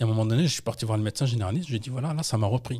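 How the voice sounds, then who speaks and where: Over a quiet background, a man speaks in a dark, mellow tone that is somewhat breathy. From France, Paris region (Yvelines, 78); Paris region, France. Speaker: textile entrepreneur and anthropologist; podcast guest. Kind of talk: interview storytelling. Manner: hesitant, many fillers. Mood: personal, reflective storytelling. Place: studio. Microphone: studio mic.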